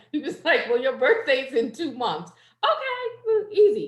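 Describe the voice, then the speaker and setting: Speaking with an American accent, a woman makes very wide pitch swings and big swings in loudness. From New Jersey, Jersey City. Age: 40s. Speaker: poetry open mic host. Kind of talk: casual chat. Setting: video call.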